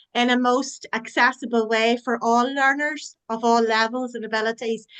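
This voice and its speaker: With an Irish accent, a woman speaks at a high pitch in a bright, sharp tone. Her intonation stays fairly even. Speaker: online forum host. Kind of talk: closing remarks in online meeting.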